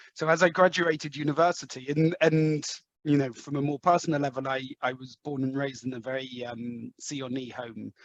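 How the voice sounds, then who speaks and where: In an English accent, a man speaks at a moderate pace with fairly even intonation and a dry, close sound with no echo. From England, London. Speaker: sales executive. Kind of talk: interview. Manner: halting, many fillers.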